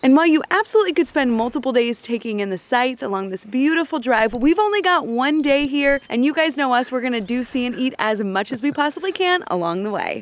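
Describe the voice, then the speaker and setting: A woman speaks at a high pitch and a very fast pace, with very wide pitch swings, hardly any pauses and a dry sound with no echo. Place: open country.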